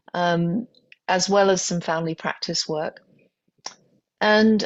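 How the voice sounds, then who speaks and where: A woman with a British accent, medium pitch, ordinary pitch variation and a fairly slow pace. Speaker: physician, pain specialist. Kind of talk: podcast interview. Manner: halting, many fillers.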